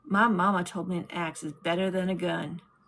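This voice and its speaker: Putting on a raspy character voice, a woman talks fairly quickly at a medium pitch with fairly even intonation. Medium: read story. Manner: guarded, terse.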